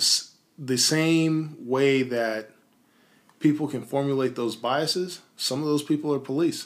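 With an American accent, a man has an ordinary speaking voice, fairly high in pitch, delivered at a fairly slow pace with fairly even intonation on a very clean recording with a silent background. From US South, Tennessee. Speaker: podcast co-host. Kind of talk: casual chat. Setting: studio.

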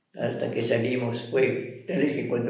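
A man's voice carries audible room echo. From Ecuador, Vilcabamba (Loja). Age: 80s+. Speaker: retired civil servant, husband. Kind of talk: casual interview, storytelling.

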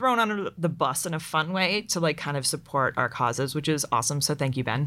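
In an American accent, a woman speaks with a very deep, low pitch and lively intonation, her tone bright and sharp. The recording is very clean, with a silent background. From Pittsburgh, Pennsylvania. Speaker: tech community manager. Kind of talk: casual interview chat.

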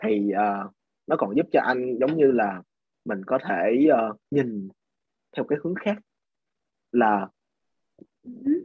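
Very slow speech from a man, with ordinary pitch variation. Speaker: podcast guest sharing English learning experience. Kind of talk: casual interview conversation.

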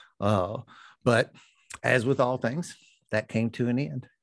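The speaker talks in a Kentucky accent with ordinary pitch variation. The background is quiet. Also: man. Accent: Kentucky Southern US. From Louisville, Kentucky. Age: 50s. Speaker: recovering addict and 12-step sponsor. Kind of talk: personal testimony in interview. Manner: halting, many fillers and repetitions.

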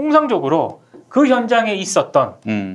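A man's voice moves through very wide pitch swings. He is the one speaking. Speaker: journalist panelist. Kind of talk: casual panel discussion about media and news.

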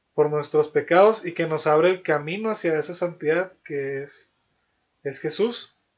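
A fairly high-pitched man at a very slow pace. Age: 20s. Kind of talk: casual religious discussion. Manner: halting, with frequent repetitions.

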